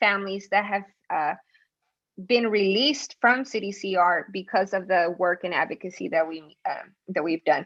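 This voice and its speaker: An unremarkable speaking voice from a woman at medium pitch, with ordinary pitch variation and a moderate pace. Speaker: community organizer. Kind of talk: panel presentation. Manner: many fillers and repetitions.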